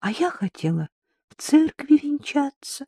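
A woman's put-on character voice, high-pitched yet dark and mellow in tone, with big pitch swings, a fairly slow pace, and a dry, close sound with no echo.

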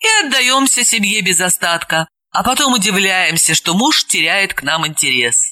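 The intonation is lively as someone reads aloud in a natural voice over a quiet background.

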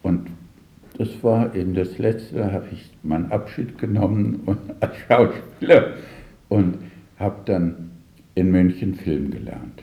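Room echo surrounds a man speaking with a low pitch and a dark, mellow tone. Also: ordinary pitch variation, fairly slow pace.

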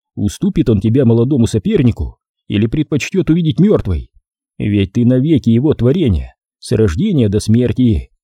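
Plain reading aloud with lively intonation, against a quiet background

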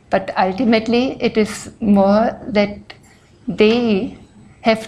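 The voice is somewhat breathy, and its intonation is fairly even. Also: woman. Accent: non-native. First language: not English. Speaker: speaker on religion. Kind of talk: lecture. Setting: stage with audience.

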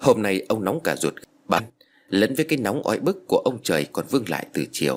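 The intonation is lively as someone reads aloud in an unforced voice.

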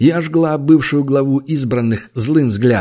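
The reading aloud is plain, with ordinary pitch variation.

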